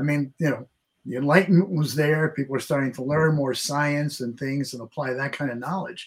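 A somewhat breathy, fairly high male voice at a very fast pace, with ordinary pitch variation. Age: 70s. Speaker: author and writing teacher. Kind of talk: radio interview.

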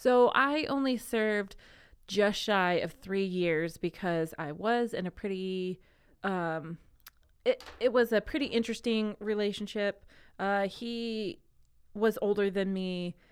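At a fairly slow pace, a woman with an unremarkable speaking voice and medium pitch shows ordinary pitch variation on a very clean recording with a silent background. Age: 30s. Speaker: comedian. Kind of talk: casual chat.

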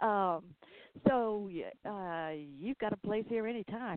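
Speaking with a Southern US accent, a woman has a fairly high pitch. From US South. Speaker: podcast host. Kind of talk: casual interview.

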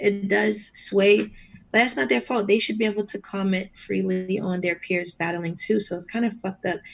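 The voice carries vocal fry, moves at a moderate pace, and shows ordinary pitch variation. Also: woman, medium pitch for a woman. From Boston, Massachusetts. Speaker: battle rapper. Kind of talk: casual chat.

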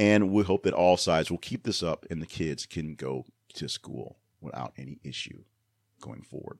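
Vocal fry runs through a man's very deep, low pitch, with big swings in loudness. The sound is dry and close, with no echo. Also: moderate pace, very clean recording, silent background. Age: 40s. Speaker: news podcast host. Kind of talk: news commentary. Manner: casual, with many fillers.

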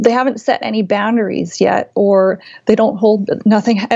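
A woman uses a normal speaking voice, fairly high in pitch and varying it in an ordinary way. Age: 40s. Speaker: quilt designer. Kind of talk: interview.

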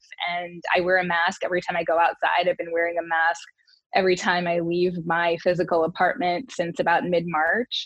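A woman with an American accent speaks in an ordinary speaking voice. Her pitch is fairly low and her intonation fairly even. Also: fairly quick pace. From Detroit area, Michigan. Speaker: communications director and former beauty queen. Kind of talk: casual interview.

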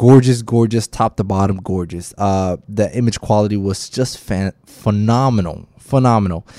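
With an American accent, the speaker has a dark, mellow tone, ordinary pitch variation and a moderate pace, in a dry, close recording with no echo and a silent background on a very clean track. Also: man. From Miami, Florida. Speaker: videographer and podcast host. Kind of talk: casual solo podcast. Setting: hotel room. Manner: halting, many fillers.

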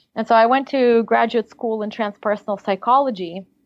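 This is a woman speaking. She has a slight Russian accent. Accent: slight Russian accent in American English. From Siberia, Russia. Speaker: life coach. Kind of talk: interview.

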